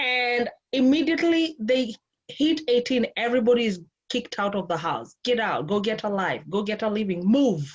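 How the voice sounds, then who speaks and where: With a Kenyan accent, a woman talks in a lively intonation. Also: fairly high pitch for a woman, moderate pace. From Kenya, Nairobi. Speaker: life and relationship coach. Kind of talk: interview conversation.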